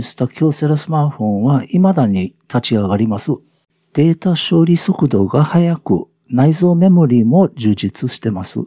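A man's fairly high voice with a dark, mellow tone and very wide pitch swings at a fairly slow pace, dry and close with no echo, against a quiet background. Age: 70s. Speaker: senior product reviewer, farmer and English teacher. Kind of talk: scripted narration.

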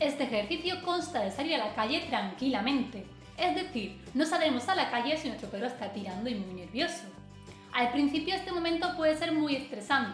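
Faint music plays in the background as a high-pitched woman talks at a fairly quick pace amid audible room echo. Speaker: dog trainer. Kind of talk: tutorial. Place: home room.

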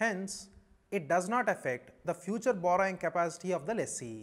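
With an Indian accent, a man talks in a high voice with lively intonation. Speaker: chartered accountancy lecturer. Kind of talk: lecture. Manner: formal. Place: studio. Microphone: lapel.

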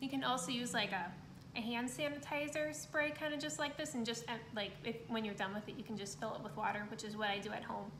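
A woman talks at a very fast pace. Noticeable background noise sits behind her. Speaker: art instructor. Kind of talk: tutorial. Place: home room. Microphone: phone near.

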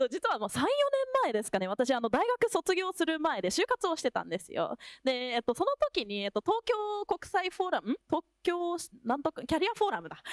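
A woman speaks at an extremely high pitch and a fairly quick pace, with very wide pitch swings and big swings in loudness. The sound is dry with no echo, over a quiet background. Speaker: company representative; panelist. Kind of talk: panel discussion. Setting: stage with audience. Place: hall. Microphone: handheld.

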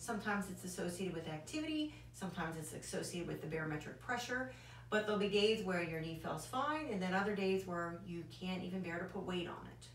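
A woman talks at a very fast pace with hardly any pauses. Light background noise and audible room echo are present. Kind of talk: medical explainer lecture. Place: office. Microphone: camera far.

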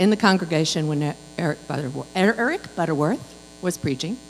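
Over light background noise, a woman speaks with vocal fry in a very deep, low pitch. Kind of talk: welcome announcements. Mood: cheerful, welcoming. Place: church. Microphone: handheld.

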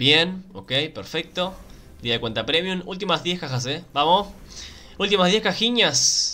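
With a Rioplatense accent, a man in a high pitch speaks at a fairly slow pace, with an animated tone, lively intonation, and long, frequent pauses. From Argentina. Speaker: gaming YouTuber. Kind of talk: casual gameplay commentary. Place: home room.

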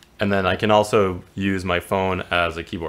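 A man speaks in a very deep, low voice with fairly even intonation. Noticeable background noise sits behind him. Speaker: product demonstrator. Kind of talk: live product demo. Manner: casual, hesitant with fillers.

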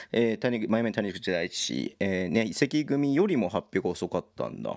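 Against a quiet background, a man's speech moves at a moderate pace. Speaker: basketball league livestreamer; basketball live streamer. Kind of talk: casual live-stream commentary reading chat. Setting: solo live stream. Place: home room. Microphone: studio mic.

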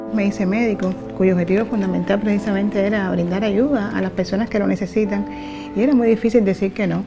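Clear music sits in the background. Over it, a woman talks at a very fast pace. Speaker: interviewee. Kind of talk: interview answer. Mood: reflective, emotional. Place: kitchen.

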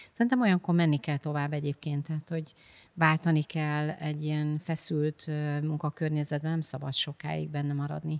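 A woman's very deep, low voice at a moderate pace, with fairly even intonation, a dry, close sound with no echo, and a very clean recording with a silent background. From Hungary, village near Győr. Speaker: business executive. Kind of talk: interview.

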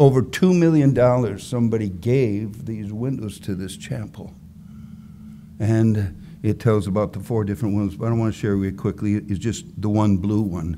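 Over light background noise, a man with a dark, mellow tone and fairly low pitch talks at a moderate pace with ordinary pitch variation. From US Midwest, Wisconsin. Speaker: preacher. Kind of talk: sermon. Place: church. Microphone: podium.

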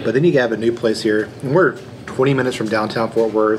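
A man's intonation stays fairly even while noticeable background noise is heard. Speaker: food vlogger. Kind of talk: casual vlog chat. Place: cafe.

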